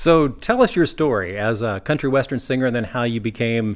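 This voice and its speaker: Here is a plain, everyday voice with ordinary pitch variation at a moderate speed. The background is silent and the recording very clean. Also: man. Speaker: radio reporter. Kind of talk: radio interview. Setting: living room interview.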